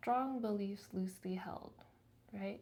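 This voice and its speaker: Soft-spoken, a woman talks with lively intonation. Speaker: lifestyle vlogger. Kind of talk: reflective monologue to camera. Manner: casual.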